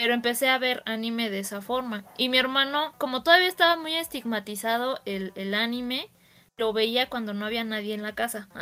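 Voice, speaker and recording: A woman's bright, sharp voice, fairly high in pitch, with ordinary pitch variation and a fairly quick pace. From Mexico City. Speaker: anime fan podcast guest. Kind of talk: casual chat.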